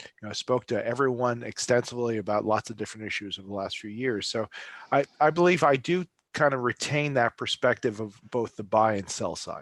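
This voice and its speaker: The speaker has a slight New Jersey accent and talks fairly quickly with ordinary pitch variation and big swings in loudness, on a very clean recording whose dry, close sound has no echo and a silent background. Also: man, medium pitch for a man. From New Jersey, Bergen County. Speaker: travel industry consultant. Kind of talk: interview. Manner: halting, many fillers.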